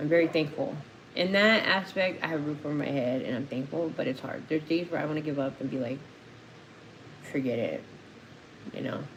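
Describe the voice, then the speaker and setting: With an American accent and a very deep, low pitch, a woman speaks fairly quickly in an animated tone, using ordinary pitch variation and long, frequent pauses amid audible room echo and noticeable background noise. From Phoenix, Arizona. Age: 40s. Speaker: recovering addict and co-host of a livestream. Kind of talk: casual livestream talk. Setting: live stream. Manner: emotional, animated.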